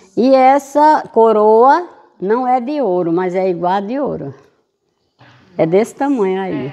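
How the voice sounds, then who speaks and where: A woman with a fairly high pitch and a dark, mellow tone speaks at a fairly slow pace, taking long, frequent pauses and making very wide pitch swings. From Brazil, Pernambuco sertão (Exu). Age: 80s+. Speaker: local elder and church caretaker. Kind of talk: guided tour interview.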